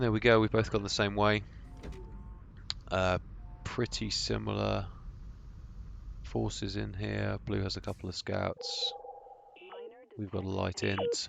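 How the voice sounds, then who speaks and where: With a British accent, a man speaks at a fairly slow pace, leaving long, frequent pauses. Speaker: gaming commentator. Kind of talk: gameplay commentary. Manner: casual.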